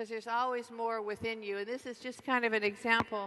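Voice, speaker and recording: A soft-spoken woman with a fairly high pitch, a bright, sharp tone, monotone, flat intonation and a fairly quick pace. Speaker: network marketing distributor. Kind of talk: convention keynote speech. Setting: large convention hall PA.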